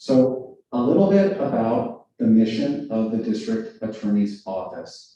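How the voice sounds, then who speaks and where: A man with an American accent speaks at a fairly slow pace with hardly any pauses. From Los Angeles, US. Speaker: district attorney. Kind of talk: public talk to a community audience. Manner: loud, slow, clear. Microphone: muffled by face mask.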